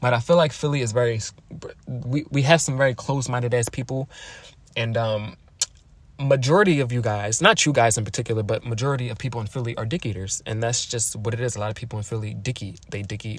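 The voice is somewhat breathy and very fast, with ordinary pitch variation. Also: man, medium pitch for a man. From Philadelphia, US. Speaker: podcast host. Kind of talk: casual monologue. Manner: animated.

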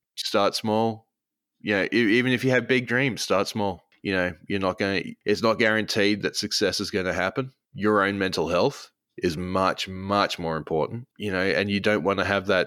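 A man with a fairly low voice and a bright, sharp tone, in an Australian accent, at a moderate pace with fairly even intonation, on a very clean recording with a silent background. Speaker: streamer. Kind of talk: casual chat.

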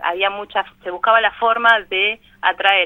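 A woman speaks with monotone, flat intonation. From Buenos Aires, Argentina (Villa Zabaleta, Barracas). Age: 40s. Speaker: parish community worker in a shantytown. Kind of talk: radio interview. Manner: halting, many fillers.

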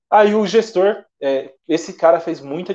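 A man speaks with a dark, mellow tone. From São Paulo, Zona Leste (raised from age 7-8; born in Minas Gerais). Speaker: sales representative. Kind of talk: casual interview chat. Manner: hesitant with frequent repetitions.

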